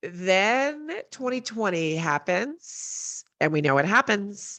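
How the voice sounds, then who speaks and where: A woman speaks loudly. Her background is quiet. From Colorado. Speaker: entrepreneur, event founder. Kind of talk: podcast interview.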